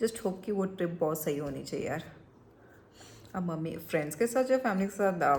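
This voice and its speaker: A woman with a normal speaking voice and a fairly low pitch talks at a moderate pace with lively intonation. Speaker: vlogger. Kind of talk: casual vlog chat.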